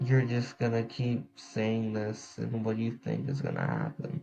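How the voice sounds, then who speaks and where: The man speaks quietly at a very slow pace. His pitch sits in the medium range, with fairly even intonation. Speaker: podcast host. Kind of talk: casual podcast monologue. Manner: quiet, subdued.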